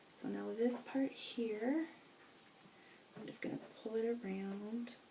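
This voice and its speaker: Amid noticeable background noise and audible room echo, a woman talks at a very slow pace with fairly even intonation. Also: fairly high pitch for a woman. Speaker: beauty vlogger. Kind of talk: hair tutorial. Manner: casual, self-correcting.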